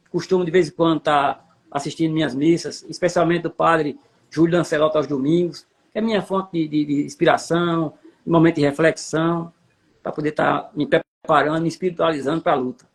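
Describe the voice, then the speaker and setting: A man with a fairly high pitch and fairly even intonation, in a normal speaking voice. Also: fairly quick pace. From Paraíba, Brazilian Northeast. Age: 60s. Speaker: city councillor. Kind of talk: interview.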